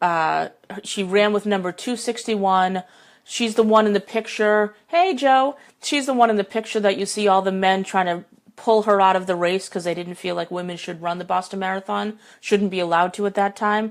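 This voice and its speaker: A woman speaks at a moderate pace with a medium pitch and fairly even intonation. She has an American accent. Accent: New England accent (joking it's obvious). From New England, US. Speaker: life coach. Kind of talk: casual live stream chat. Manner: chatty, rambling.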